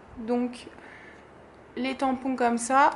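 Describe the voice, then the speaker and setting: Noticeable background noise behind a woman speaking at a high pitch. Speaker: craft YouTuber. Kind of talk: product haul presentation. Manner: hesitant, many fillers.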